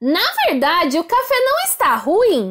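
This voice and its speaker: A woman uses a put-on character voice at an extremely high pitch. She speaks at a fairly slow pace with very wide pitch swings. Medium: read story.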